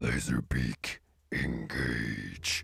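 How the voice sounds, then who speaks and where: A man puts on a character voice, very deep and low in pitch. It comes out raspy. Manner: commanding.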